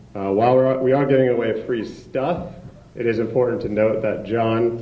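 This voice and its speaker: Audible room echo surrounds a man's voice. He keeps a moderate pace and fairly even intonation. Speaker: event host from hospital foundation. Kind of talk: event introduction speech. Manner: halting, many fillers.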